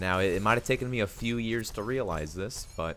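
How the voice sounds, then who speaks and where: Music plays in the background as a man talks. His pitch is fairly low and his pace fairly quick. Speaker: youtuber. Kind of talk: monologue. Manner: soft-spoken; halting.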